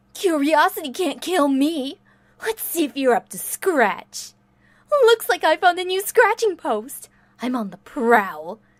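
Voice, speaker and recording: Using a put-on character voice, a woman speaks at a fairly slow pace with a high pitch and very wide pitch swings. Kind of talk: fan voice reel of game lines. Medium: dub. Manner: playful, teasing.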